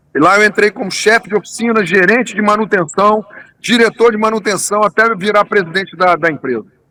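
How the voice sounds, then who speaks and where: A man's high-pitched, raised and projected voice at a fairly quick pace, with ordinary pitch variation and a dry, close sound with no echo. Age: 60s. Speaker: tourism businessman, engineer. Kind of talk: interview. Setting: remote interview.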